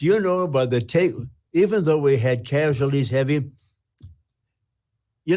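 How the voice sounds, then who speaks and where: A man's dark, mellow tone at medium pitch, with an American accent and a moderate pace, on a very clean recording with a silent background. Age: 90s. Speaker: war veteran. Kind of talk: interview answer.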